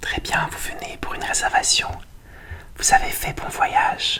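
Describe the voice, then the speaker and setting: Someone whispers at a fairly slow pace amid noticeable background noise. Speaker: ASMR creator playing a hotel receptionist. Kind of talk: ASMR hotel check-in role-play, soft-spoken. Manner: whispered, soft-spoken, slow.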